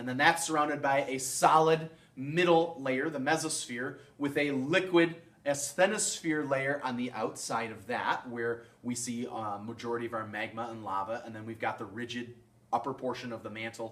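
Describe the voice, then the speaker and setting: A man talks at a moderate pace with a medium pitch, ordinary pitch variation and big swings in loudness. Noticeable background noise and audible room echo fill the recording. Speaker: science teacher. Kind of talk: recorded lecture video.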